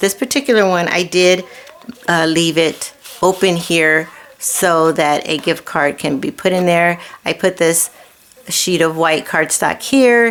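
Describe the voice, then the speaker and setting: There is noticeable background noise as a woman talks at a fairly slow pace with ordinary pitch variation. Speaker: card-making crafter. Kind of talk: crafting tutorial. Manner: casual, rambling with fillers.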